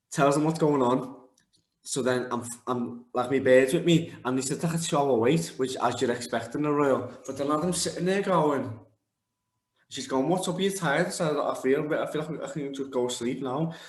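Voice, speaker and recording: There is audible room echo around a man whose pitch is fairly high. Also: ordinary pitch variation. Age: 20s. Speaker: MMA fighter. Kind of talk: interview. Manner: fast.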